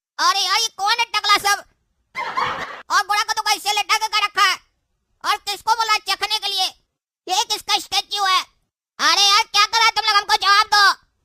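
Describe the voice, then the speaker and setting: A put-on character voice, extremely high and monotone with flat intonation, fairly quick in pace but broken by long, frequent pauses. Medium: comedy sketch. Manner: panicky.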